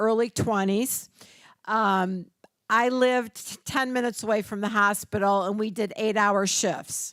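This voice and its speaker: A woman with an American accent and an ordinary speaking voice talks at a fairly slow pace, fairly high in pitch with ordinary variation. The recording is very clean, with a silent background. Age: 60s. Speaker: registered nurse and community educator. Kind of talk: workshop presentation. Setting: church hall with audience. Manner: conversational.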